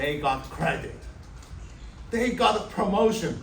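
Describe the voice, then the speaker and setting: A man with a strong Chinese accent speaks at a very slow pace. Noticeable background noise and audible room echo surround him. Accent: heavy Chinese. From China. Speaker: software developer. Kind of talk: speech.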